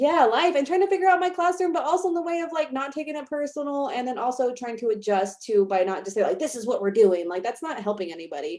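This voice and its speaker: A woman's high voice at a very fast pace, with very wide pitch swings. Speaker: college instructor. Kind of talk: casual discussion. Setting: video call.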